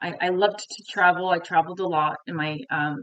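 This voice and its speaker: A woman speaks with a Montreal accent. Her pitch is fairly low, with ordinary pitch variation. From Quebec, Montreal. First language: French. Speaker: French teacher. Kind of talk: tutorial.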